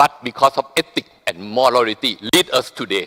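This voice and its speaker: The sound is dry and close, without echo. A man talks at a medium pitch. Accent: Thai. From Thailand. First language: Thai. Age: 60s. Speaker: business leader. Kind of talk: speech at a business forum.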